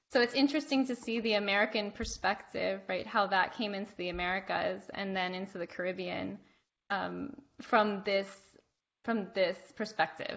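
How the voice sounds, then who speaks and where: A woman with medium pitch talks with vocal fry. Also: ordinary pitch variation, moderate pace. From Cuban American. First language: Spanish. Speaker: podcast host. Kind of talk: casual interview chat.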